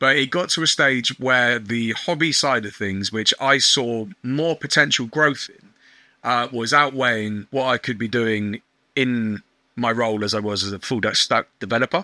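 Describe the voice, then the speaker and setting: A man of medium pitch speaks at a moderate pace with a bright, sharp tone, ordinary pitch variation and big swings in loudness, recorded dry and close with no echo against a silent background in a very clean recording. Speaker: online shop owner. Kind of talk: podcast interview.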